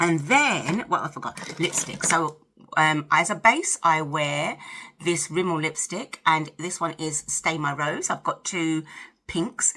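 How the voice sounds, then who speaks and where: A woman talks with a British accent at a fairly low pitch. Her pace is fairly slow, and background noise is noticeable. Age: 50s. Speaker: lifestyle vlogger. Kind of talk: casual chat to camera while doing makeup. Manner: chatty, talkative.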